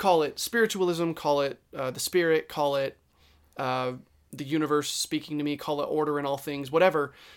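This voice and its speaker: A man has an unremarkable speaking voice, fairly high in pitch, at a fairly quick pace. The recording is very clean, with a silent background. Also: fairly even intonation. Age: 20s. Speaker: podcast co-host. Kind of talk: casual chat.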